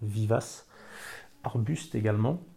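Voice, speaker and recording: The voice is somewhat breathy with a dark, mellow tone, captured in a very clean recording with a silent background. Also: man. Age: old. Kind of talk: interview testimony. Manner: hesitant, with filler sounds and repetitions.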